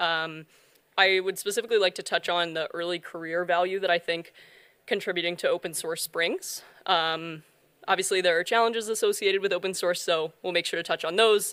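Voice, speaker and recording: A woman with an American accent speaks in a normal speaking voice, fairly low-pitched, with fairly even intonation and a fairly quick pace, on a very clean recording with a silent background. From US South, North Carolina. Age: 20s. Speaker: software developer, conference speaker. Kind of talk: conference talk.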